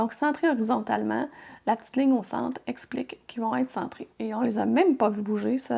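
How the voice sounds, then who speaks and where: Speaking at a fairly quick pace, a woman talks with a Quebec accent. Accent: Québécois French. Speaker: crafting tutorial youtuber. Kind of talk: software tutorial. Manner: casual, friendly.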